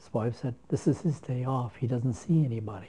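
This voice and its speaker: A man's medium-pitched voice, dark and mellow in tone and somewhat breathy, moves with ordinary pitch variation. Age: 90s. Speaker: retired pastor. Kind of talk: interview. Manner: halting, with many repetitions and fillers.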